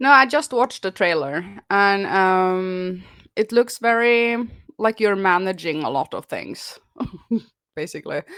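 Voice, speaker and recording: On a very clean recording with a silent background, a woman with a non-native accent speaks at a fairly slow pace and medium pitch, her intonation lively and her pauses long and frequent. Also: dry, close sound with no echo. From Norway. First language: Norwegian. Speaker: YouTuber. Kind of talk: casual podcast chat.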